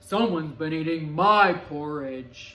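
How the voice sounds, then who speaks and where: Using a put-on character voice, a woman speaks at a fairly slow pace with a very deep, low pitch. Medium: read story.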